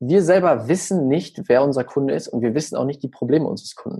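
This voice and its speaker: Against a quiet background, a man with a fairly high pitch and a dark, mellow tone speaks with lively intonation. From Germany, small village. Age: young. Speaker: social media marketing expert. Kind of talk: podcast interview.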